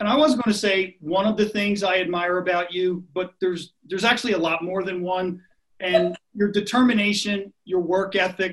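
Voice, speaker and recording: A man with a Philadelphia accent speaks at a moderate pace in an enthusiastic tone, his pitch high. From Philadelphia area. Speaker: podcast co-host. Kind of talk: casual interview.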